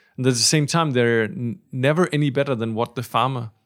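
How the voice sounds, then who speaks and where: Very fast talk from a man, medium-pitched, with pitch varying in an ordinary way. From Denmark. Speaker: coffee company co-founder. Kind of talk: interview. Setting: roastery.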